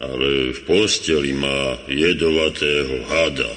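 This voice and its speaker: A man speaks in a put-on character voice, with a clear echo around him. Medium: old radio play. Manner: grumbling, drowsy.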